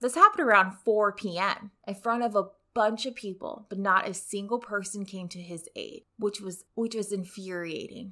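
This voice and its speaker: With an American accent, a woman speaks at medium pitch and a moderate pace in a bright, sharp tone, with ordinary pitch variation, on a very clean recording with a silent background. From Rio Grande Valley, Texas. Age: 30s. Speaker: podcast host and criminologist. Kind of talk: solo podcast narration.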